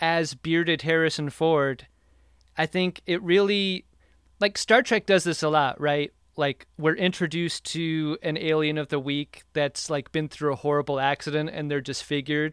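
At a moderate pace, a man with a plain, everyday voice speaks at a fairly high pitch with fairly even intonation, the sound dry and close with no echo on a very clean recording with a silent background. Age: 40s. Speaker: podcaster, guest. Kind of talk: casual chat.

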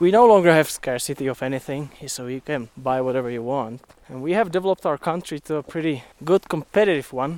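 Speaking at a fairly quick pace with hardly any pauses, a man with a fairly high pitch and ordinary pitch variation shows big swings in loudness, in a very clean recording with a silent background and a dry, close sound with no echo. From Czech Republic, southern Moravia. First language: Czech. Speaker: electrical engineer. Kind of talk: casual interview. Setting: outdoors, hiking a snowy mountain trail. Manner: occasional stammers.

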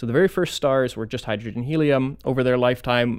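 Very fast speech in an American accent, on a very clean recording with a silent background. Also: man. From Florida, US. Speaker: astronomy professor. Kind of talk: interview.

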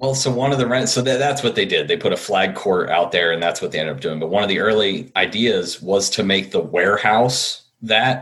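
With an American accent, a man talks at a fairly quick pace in an ordinary speaking voice, medium in pitch with ordinary pitch variation and hardly any pauses. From central New Jersey. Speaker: sports fan guest. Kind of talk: casual chat.

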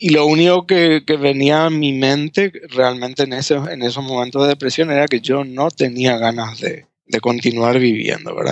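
A man's fairly high voice at a moderate pace, with ordinary pitch variation and hardly any pauses. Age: 40s. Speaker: former pastor. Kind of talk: interview testimony. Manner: halting, many repetitions.

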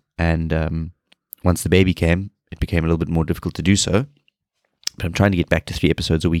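In a South African accent, a man speaks very fast with a very deep, low pitch and flat, monotone intonation. The sound is dry and close with no echo, and the recording is very clean over a silent background. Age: 30s. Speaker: fitness podcast host, personal trainer. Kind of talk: solo podcast monologue.

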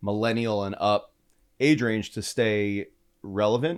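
At a moderate pace, a man with a normal speaking voice and fairly low pitch talks with ordinary pitch variation. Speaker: podcast host. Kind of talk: casual interview.

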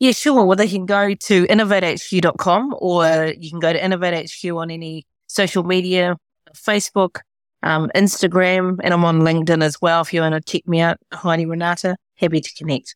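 In a very clean recording with a silent background and a dry, close sound with no echo, a woman speaks at a moderate pace with a fairly low pitch and fairly even intonation. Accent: New Zealand. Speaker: business leader and educator. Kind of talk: interview conversation. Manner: halting.

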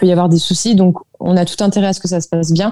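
Her tone dark and mellow, a woman speaks in a monotone with flat intonation. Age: 20s. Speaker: work-study student. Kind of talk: interview. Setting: remote call.

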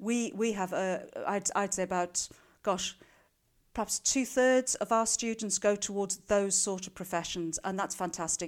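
With a South African accent, a woman speaks at a moderate pace and medium pitch, her pitch varying in an ordinary way, on a very clean recording with a silent background. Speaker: school careers adviser and teacher. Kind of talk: interview.

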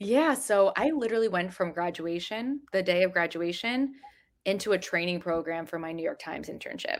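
With an American accent, a woman at medium pitch has a normal speaking voice, lively intonation, and a fairly quick pace. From New Jersey. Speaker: journalist and editor. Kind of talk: interview.

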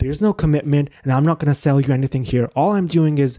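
A man's fairly high voice, dark and mellow in tone, with ordinary pitch variation and a dry, close sound with no echo. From Pakistan. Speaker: author and podcast host. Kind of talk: interview.

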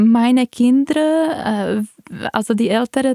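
In a Czech accent, a woman with a high pitch speaks in a dry, close sound with no echo. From Czech Republic. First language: Czech (speaking German). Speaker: physician and patient. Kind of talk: personal testimony in interview.

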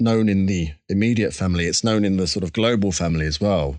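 In an Essex accent, a man with a fairly low pitch speaks at a fairly quick pace with ordinary pitch variation against a quiet background. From Essex, England. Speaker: musician. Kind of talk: interview.

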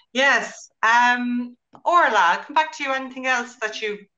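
Someone with an Irish accent talks at a fairly slow pace. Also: woman. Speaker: book club host. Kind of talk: casual chat.

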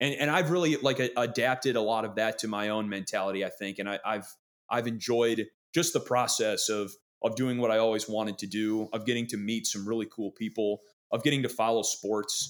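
Speaking fairly quickly with an American accent, a man uses a plain, everyday voice at medium pitch with ordinary pitch variation, in a very clean recording with a silent background. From Wisconsin. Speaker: sports broadcaster. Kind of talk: casual interview chat.

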